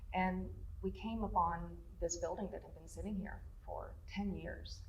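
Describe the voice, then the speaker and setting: A woman speaks with an East Tennessee accent over noticeable background noise, with audible echo from the room. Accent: East Tennessee Southern. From East Tennessee (Scott County). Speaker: lodge owner. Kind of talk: interview. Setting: on location at the lodge.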